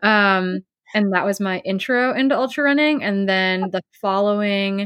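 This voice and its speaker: A woman with an American accent speaks in a normal speaking voice at a medium pitch, with ordinary pitch variation. She talks at a fairly slow pace on a very clean recording with a silent background. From US Midwest, Wisconsin. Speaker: professional ultra runner and coach. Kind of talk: interview, casual chat.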